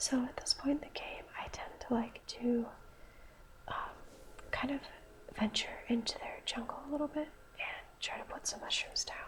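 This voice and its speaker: A woman whispering with long, frequent pauses amid noticeable background noise. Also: moderate pace. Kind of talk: ASMR video game commentary. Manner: soft-spoken, whispered.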